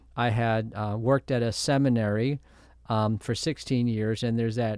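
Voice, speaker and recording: A man speaks at a medium pitch in a plain, everyday voice, on a very clean recording with a silent background. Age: 60s. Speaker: university president. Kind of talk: interview.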